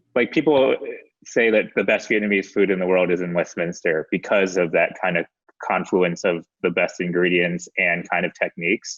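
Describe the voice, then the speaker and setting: With an American accent, a man speaks at a moderate pace in a very deep, low pitch, his pitch varying in an ordinary way. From US, Maryland near DC. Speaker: documentary film director. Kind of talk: casual chat interview. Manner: casual, many fillers.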